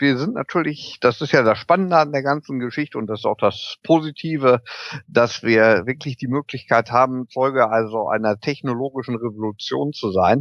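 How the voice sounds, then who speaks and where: A man talks in an unremarkable speaking voice at a medium pitch and moderate pace, with ordinary pitch variation. The sound is dry and close, with no echo. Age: 40s. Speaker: electric vehicle equipment entrepreneur. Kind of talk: interview. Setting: video call.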